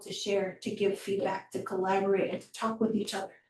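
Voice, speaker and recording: A woman's fairly quick, monotone speech with flat intonation and music in the background. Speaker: public health presenter. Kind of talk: presentation.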